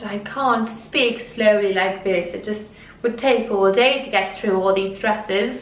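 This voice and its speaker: A woman with a Welsh accent speaks at a fairly slow pace amid noticeable background noise and audible room echo. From Wales. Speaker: fashion youtuber. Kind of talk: clothing haul review. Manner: animated.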